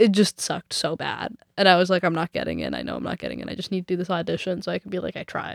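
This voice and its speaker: A woman in a Canadian accent at a very fast pace. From Vancouver. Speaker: singer-songwriter and music student. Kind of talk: casual interview chat. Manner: fast, halting with fillers.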